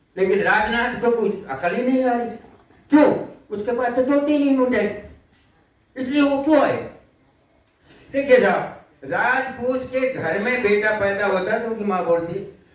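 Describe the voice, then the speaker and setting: With audible room echo, a man's extremely high-pitched voice comes through with ordinary pitch variation and long, frequent pauses. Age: 80s+. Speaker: war veteran. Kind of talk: public speech. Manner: animated.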